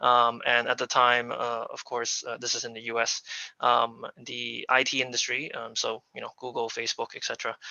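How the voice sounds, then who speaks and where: A man with an American accent at a moderate pace, his loudness swinging widely. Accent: non-local, American. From United States. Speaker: aviation business executive. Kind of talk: presentation. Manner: halting, many fillers.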